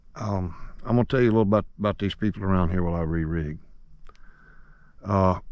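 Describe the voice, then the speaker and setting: The speaker talks very fast in a Southern US accent, with fairly even intonation and long, frequent pauses. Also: man, very deep, low pitch for a man. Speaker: fishing vlogger. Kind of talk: outdoor vlog narration. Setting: outdoors.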